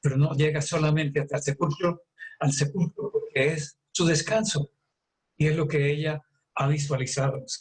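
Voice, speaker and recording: At a moderate pace, a man with a fairly high-pitched, somewhat breathy voice speaks with fairly even intonation. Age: 70s. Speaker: doctor. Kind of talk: health talk.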